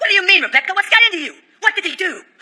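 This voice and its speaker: This is a cartoonish character voice at an extremely high pitch. It rattles along at a very fast pace. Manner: impulsive, shouting.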